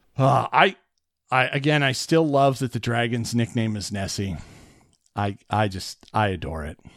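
Lively intonation colors an unremarkable speaking voice as this man talks at a moderate pace. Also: medium pitch for a man. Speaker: podcast host. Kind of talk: casual chat.

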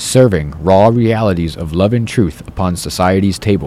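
A man with an American accent has a plain, everyday voice, fairly low in pitch. He speaks at a moderate pace with ordinary pitch variation. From upstate New York. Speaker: spiritual street activist. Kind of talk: casual interview; spoken-word poetry.

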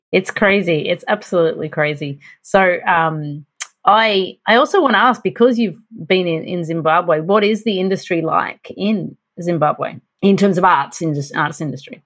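A woman with an unremarkable speaking voice talks at a moderate pace, her pitch medium and its variation ordinary. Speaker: podcast co-host. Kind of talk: interview conversation.

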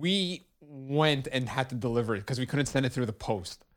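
A man with a Montreal accent, in a very clean recording with a silent background. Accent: Montreal English (Canadian). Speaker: brewery co-founder. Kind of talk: casual chat.

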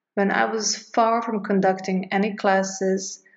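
A natural reading voice moves through the text with fairly even intonation.

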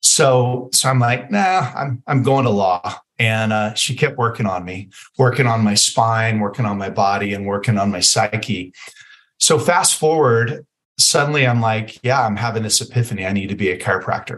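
At a moderate pace, a man speaks with a plain, everyday voice at medium pitch. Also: ordinary pitch variation. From Las Vegas, Nevada, US. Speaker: chiropractor and clinic owner. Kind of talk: interview.

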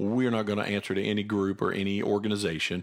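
In a very clean recording with a silent background, a man with a plain, everyday voice talks at a fairly quick pace and a fairly low pitch. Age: 40s. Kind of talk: casual chat with Bible teaching.

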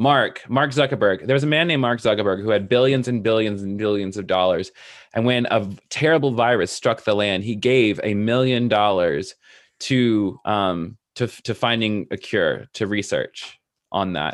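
A man with a fairly low pitch, ordinary pitch variation and an unremarkable speaking voice talks at a moderate pace. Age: 30s. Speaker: digital pastor and spiritual coach. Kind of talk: casual interview.

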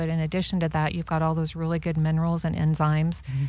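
A woman speaks at a fairly low pitch in monotone, flat intonation. The recording is very clean, with a silent background. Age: 50s. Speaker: cancer survivor. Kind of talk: interview.

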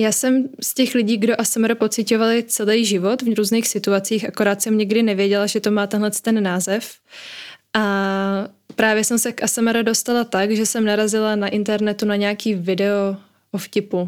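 A woman speaks at a moderate pace in a fairly high, monotone voice with flat intonation. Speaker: psychology student and ASMR creator. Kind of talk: interview. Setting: video call from home.

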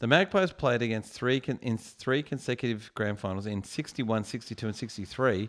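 An animated man with an Australian accent at a moderate pace, on a very clean recording with a silent background. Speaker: podcaster guest. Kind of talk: casual drunken chat. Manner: joking, animated.

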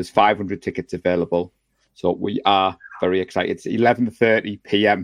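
A man with an English accent speaks at a fairly low pitch, the sound dry and close with no echo. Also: moderate pace. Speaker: fan podcast host. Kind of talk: live show casual chat. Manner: excitable; animated.

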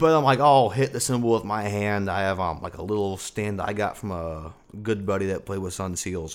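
This is a normal speaking voice at a fairly quick pace. Its pitch varies in an ordinary way. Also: man, fairly low pitch for a man. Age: 20s. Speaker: drummer and multi-instrumentalist. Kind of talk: casual chat.

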